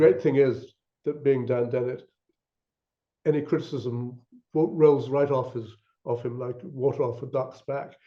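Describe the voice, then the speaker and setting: Somewhat breathy, a man speaks at a medium pitch. His intonation is monotone and flat, at a moderate pace. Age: 80s+. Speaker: author and scientist discussing his book. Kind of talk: academic discussion. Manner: halting, many repetitions and fillers.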